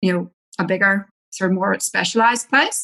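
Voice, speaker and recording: A woman speaks at a medium pitch with an Irish accent. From Ireland. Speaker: naturopath and mother. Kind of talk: personal story in podcast interview. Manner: casual, many fillers.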